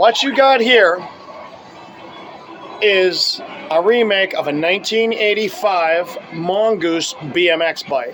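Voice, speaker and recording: Music plays behind a man who speaks loudly at a high pitch with lively intonation. His pace is very slow, with long, frequent pauses. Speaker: BMX collector and video host. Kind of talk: casual show-and-tell video. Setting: home retro arcade room. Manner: enthusiastic.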